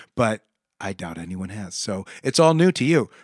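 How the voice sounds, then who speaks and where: A man with an American accent at a moderate pace, dry and close with no echo, against a quiet background. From Nebraska, Omaha. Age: 50s. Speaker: session guitarist. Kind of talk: casual interview chat. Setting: studio.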